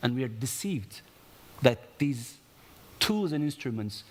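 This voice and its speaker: A man talks with a Turkish accent. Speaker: conference panelist, investment promotion professional. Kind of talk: conference panel talk. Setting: conference stage with audience. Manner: animated, with hesitations and self-corrections.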